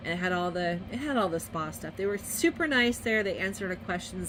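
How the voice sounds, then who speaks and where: A woman's fairly low-pitched voice with vocal fry, ordinary pitch variation and a very fast pace. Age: 40s. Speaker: vlogger. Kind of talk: casual vlog narration. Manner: animated.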